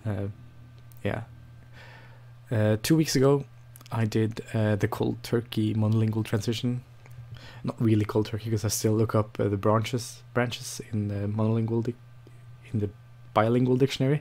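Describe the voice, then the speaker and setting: Speaking with a non-native accent at a moderate pace, a man uses a monotone, flat intonation, a somewhat breathy, dark, mellow tone, and long, frequent pauses. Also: medium pitch for a man. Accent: non-native English, noticeable. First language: Norwegian. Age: 20s. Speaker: language learning vlogger. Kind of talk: casual vlog monologue. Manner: hesitant, many fillers and restarts.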